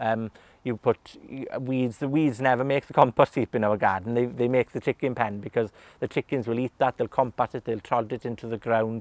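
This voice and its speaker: With a Welsh accent and a medium pitch, a man talks at a fairly quick pace with fairly even intonation, the sound dry and close with no echo. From West Wales. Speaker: gardener. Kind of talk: casual interview talk. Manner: hesitant, many fillers.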